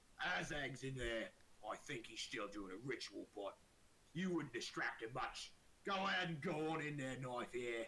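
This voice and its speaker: Using a put-on character voice, a man speaks at medium pitch and a moderate pace over clear background noise. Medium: actual play. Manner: gruff.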